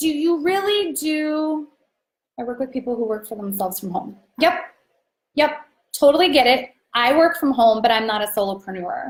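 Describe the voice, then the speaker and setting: A loud woman with a high pitch and very wide pitch swings speaks at a moderate pace, leaving long, frequent pauses. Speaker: business coach. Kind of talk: live stream training. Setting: live video stream. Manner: animated.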